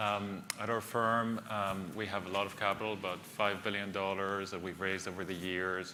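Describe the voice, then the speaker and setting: With a Greek accent, a man speaks at a moderate pace with hardly any pauses, a fairly low pitch and monotone, flat intonation, and audible room echo surrounds him. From Greece and the UK. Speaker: venture capitalist. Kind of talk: panel discussion.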